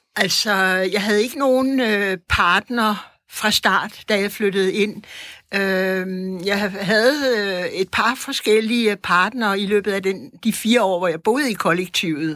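A woman talks at a very slow pace in a bright, sharp tone. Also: medium pitch for a woman, ordinary pitch variation. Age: 70s. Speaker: artist and teacher, former commune member. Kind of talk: interview and debate. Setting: studio.

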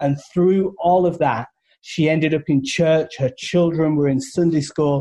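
With a British accent, a man speaks at a fairly high pitch in a dark, mellow tone, using ordinary pitch variation. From United Kingdom. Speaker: charity representative, radio show guest. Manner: earnest, storytelling.

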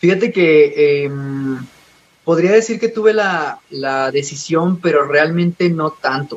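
A man speaks at a very slow pace. His pitch is high, with ordinary variation. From Mexico, Coahuila (Parras de la Fuente). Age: 20s. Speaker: gymnast. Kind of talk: interview. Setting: phone call.

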